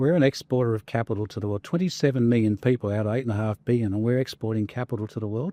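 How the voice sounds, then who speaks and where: A man talks at a very fast pace with hardly any pauses, his medium-pitched voice dark and mellow with ordinary pitch variation. The sound is dry and close with no echo, over a quiet background. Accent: Australian. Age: 60s. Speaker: former fund manager. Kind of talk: interview conversation.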